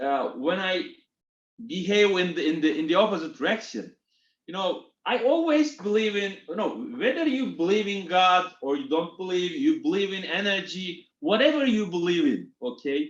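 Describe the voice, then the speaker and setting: A man with a Turkish accent speaks high for a man at a moderate pace. His pitch swings very widely. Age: 40s. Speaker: retail executive. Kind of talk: interview. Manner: halting.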